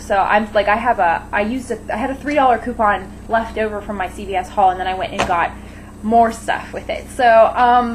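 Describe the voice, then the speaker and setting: This woman's fairly high voice holds a fairly even intonation. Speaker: beauty vlogger. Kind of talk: casual vlog monologue. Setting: home kitchen. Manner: halting, rambling with fillers.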